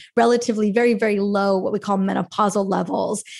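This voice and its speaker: In a very clean recording with a silent background, a woman with an unremarkable speaking voice talks at a fairly quick pace and medium pitch, keeping her intonation fairly even. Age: 40s. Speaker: functional medicine practitioner and author. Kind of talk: casual interview.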